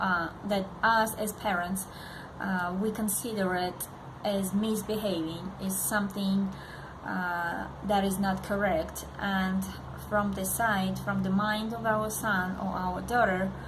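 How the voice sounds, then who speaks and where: A woman with a non-native accent and a medium pitch speaks at a very slow pace in a monotone, flat intonation, with noticeable background noise and audible room echo. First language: not English. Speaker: parenting vlogger. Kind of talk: direct-to-camera vlog. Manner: halting, many fillers.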